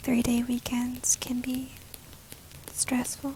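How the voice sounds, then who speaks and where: Soft-spoken delivery comes at a very slow pace against noticeable background noise. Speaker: ASMR travel agent roleplay host. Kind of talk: travel agent roleplay in English. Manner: soft-spoken, relaxing.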